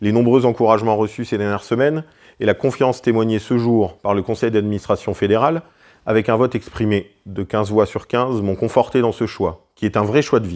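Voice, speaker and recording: Against a quiet background, a man with an unremarkable speaking voice talks at a fairly quick pace and a medium pitch with ordinary pitch variation. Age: 40s. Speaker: hunting federation president. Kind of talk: prepared speech. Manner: formal.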